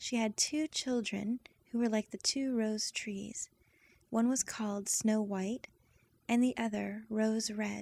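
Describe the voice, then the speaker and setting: A woman's fairly high, somewhat breathy voice with a dark, mellow tone, monotone, flat intonation and a very slow pace, in a dry, close sound with no echo. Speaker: voice actress. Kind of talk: bedtime story reading.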